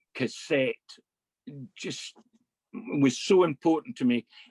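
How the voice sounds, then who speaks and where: A man speaks in a Scottish accent with fairly even intonation. The sound is dry and close, with no echo. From Scotland, Ayrshire (Kilmarnock). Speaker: Burns club director. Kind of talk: casual chat.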